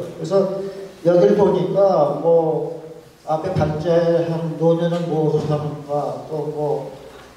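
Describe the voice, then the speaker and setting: Noticeable background noise and audible room echo surround a man's voice. He speaks very slowly at a fairly high pitch, with fairly even intonation. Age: 70s. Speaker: artist and painter giving a talk. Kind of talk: forum presentation. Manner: halting, many fillers.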